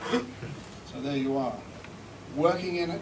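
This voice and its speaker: A man speaks very slowly at a fairly high pitch with ordinary pitch variation, over noticeable background noise. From South Africa. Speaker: recording engineer and producer giving a seminar. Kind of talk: seminar talk. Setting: stage with live audience. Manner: animated, joking. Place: hall. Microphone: camera far.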